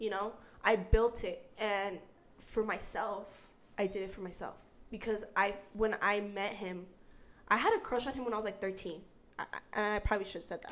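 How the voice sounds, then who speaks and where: Using an American accent, a woman talks at a moderate pace and medium pitch in a monotone, flat intonation, with long, frequent pauses. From Utah. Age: 20s. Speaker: young mother sharing her story. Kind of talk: casual interview.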